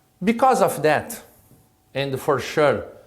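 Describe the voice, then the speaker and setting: The voice belongs to a man with a Brazilian accent. There is audible room echo around it. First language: Portuguese. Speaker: state prosecutor and law professor. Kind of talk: lecture. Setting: recorded lecture at his institution. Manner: halting.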